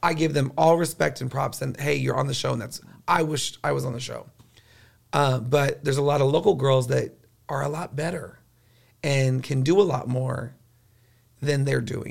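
A man with an American accent speaks at a fairly high pitch with vocal fry. He takes long, frequent pauses. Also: ordinary pitch variation, moderate pace. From Corpus Christi, Texas. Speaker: drag queen. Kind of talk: casual chat.

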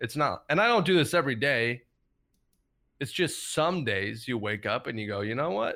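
Very wide pitch swings, a bright, sharp tone and a moderate pace. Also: man, fairly high pitch for a man. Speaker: podcast host. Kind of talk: casual chat.

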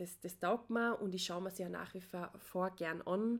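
In an Austrian accent, a woman talks at a fairly slow pace with ordinary pitch variation. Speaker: podcaster. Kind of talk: personal monologue.

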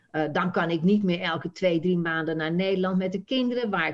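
A woman speaks with a fairly low pitch and ordinary pitch variation, in a slight Frisian accent. The background is quiet. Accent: very slight Frisian melody. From Friesland, Netherlands. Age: 60s. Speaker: Dutch language teacher. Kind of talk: interview.

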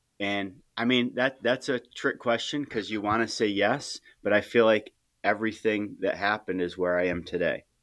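Fairly low-pitched male voice, an ordinary speaking voice, at a moderate pace with fairly even intonation, on a very clean recording against a silent background. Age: 40s. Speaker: high school teacher and coach. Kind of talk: casual interview.

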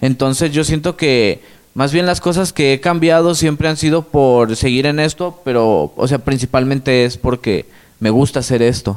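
Moderate in pace, this man speaks with a Mexican accent at a fairly high pitch. His loudness stays very even, and his pitch varies in an ordinary way. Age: 20s. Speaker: rapper. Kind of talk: casual interview.

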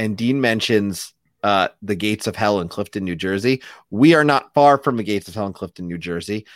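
Very clean with a silent background, the recording holds a man with a plain, everyday voice, fairly low pitch, ordinary pitch variation and big swings in loudness. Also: fairly quick pace, dry, close sound with no echo. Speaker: podcast host. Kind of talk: casual chat.

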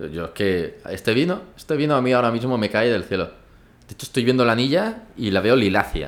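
This man's intonation is lively and his pitch is medium. He speaks at a fairly quick pace. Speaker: podcast co-host. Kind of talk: casual chat over wine tasting. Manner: loud.

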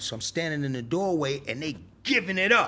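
Speaking at a moderate pace, a man has a bright, sharp tone with vocal fry, on a very clean recording with a silent background. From New York, South Bronx. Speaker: rapper. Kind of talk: casual interview storytelling. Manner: animated.

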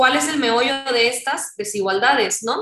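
A woman with a plain, everyday voice, fairly high pitch, and ordinary pitch variation. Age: 30s. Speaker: activist and political scientist. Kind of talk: interview.

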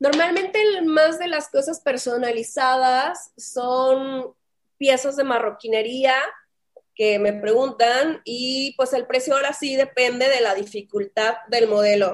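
Speaking very slowly, a woman uses a high voice with ordinary pitch variation. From northern Mexico, Saltillo, Coahuila. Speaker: fashion brand founder and designer. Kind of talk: interview.

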